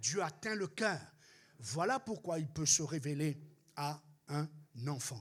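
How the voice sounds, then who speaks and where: The man's voice is somewhat breathy. His pitch sits fairly high. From Réunion. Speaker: pastor. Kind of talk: sermon.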